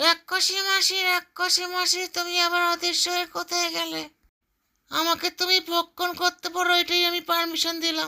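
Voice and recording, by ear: A woman speaks in a cartoonish character voice with extremely high pitch, flat and monotone intonation. Her pace is moderate, and the recording is very clean with a silent background.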